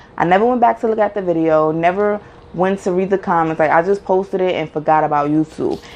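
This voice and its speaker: A woman talks at a very fast pace in an animated tone. She has a New York accent. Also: medium pitch for a woman, ordinary pitch variation. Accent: New York (Bronx). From Bronx, New York City. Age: 30s. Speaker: YouTuber, mom. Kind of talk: casual Q&A vlog.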